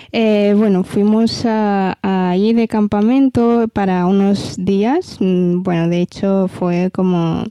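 Dark and mellow in tone, the voice goes at a very slow pace with fairly even intonation. Loudness stays very even in a dry, close sound with no echo. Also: woman. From Ethiopia. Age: 20s. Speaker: model. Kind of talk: interview.

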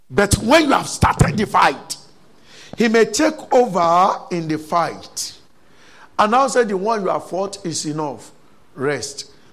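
Over noticeable background noise, a man with a high voice sounds animated, his pitch swinging very widely between long, frequent pauses. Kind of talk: fervent prayer, charged preaching. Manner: loud, impassioned, urgent call-and-response cadence with repeated pleas; animated, exhorting the congregation to shout.

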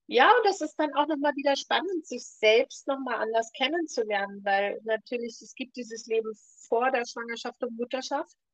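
A woman talks at a moderate pace in a high voice with ordinary pitch variation, her loudness swinging widely. The sound is dry and close, with no echo. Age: 60s. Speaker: ayurveda expert and podcast co-host. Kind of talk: casual chat.

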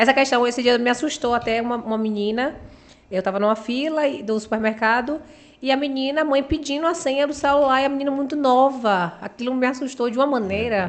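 A woman's high-pitched voice moves at a fairly quick pace, with ordinary pitch variation. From Bahia, Brazil (Uruçuca, Itabuna). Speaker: beauty pageant model. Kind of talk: interview.

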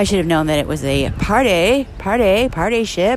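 A woman's medium-pitched voice at a fairly slow pace, with lively intonation and noticeable background noise. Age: 40s. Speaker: podcaster. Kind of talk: casual monologue. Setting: outdoors at a subway platform.

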